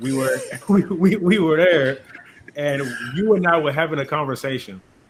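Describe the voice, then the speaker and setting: A man's fairly high-pitched voice at a moderate pace, with noticeable background noise. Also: ordinary pitch variation. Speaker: podcast host. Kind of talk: casual interview conversation. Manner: upbeat.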